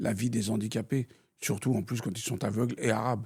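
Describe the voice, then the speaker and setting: This is a man with a normal speaking voice at medium pitch. His intonation stays fairly even. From France (born in Algeria, raised in France). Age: 60s. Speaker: retired banker and city politician, blind. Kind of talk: interview.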